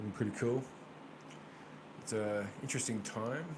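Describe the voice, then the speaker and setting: At a moderate pace, a man with an American accent speaks in a medium pitch with fairly even intonation, amid audible room echo and noticeable background noise. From Australia, Brisbane, Queensland. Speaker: tarot reader. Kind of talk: casual chat with live viewers. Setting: livestream with webcam.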